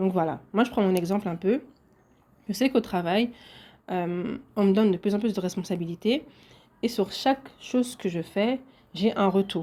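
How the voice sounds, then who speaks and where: On a very clean recording with a silent background, a woman speaks at medium pitch with a dark, mellow tone. Her pace is moderate, broken by long, frequent pauses. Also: ordinary pitch variation. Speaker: podcaster. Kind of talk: solo podcast monologue.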